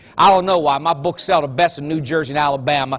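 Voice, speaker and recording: On a very clean recording with a silent background, a man with an Appalachian accent talks at a very fast pace, fairly high in pitch and with an animated tone. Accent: Appalachian twang. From West Virginia. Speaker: motivational speaker. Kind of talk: motivational talk.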